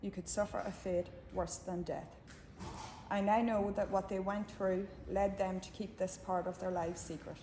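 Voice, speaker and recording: A woman with an Irish accent speaks at a medium pitch in a monotone, flat intonation. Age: 60s. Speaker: campaigner for mother and baby home survivors. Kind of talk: prepared speech at a book launch. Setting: book launch event with audience. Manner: formal.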